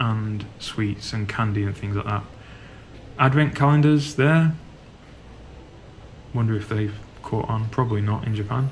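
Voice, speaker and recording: Audible room echo surrounds a speaker with a Yorkshire accent, who uses a relaxed tone, ordinary pitch variation and long, frequent pauses. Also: man. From Yorkshire, northern England. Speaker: travel vlogger. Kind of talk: guided walking tour vlog. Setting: inside a supermarket. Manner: casual, relaxed.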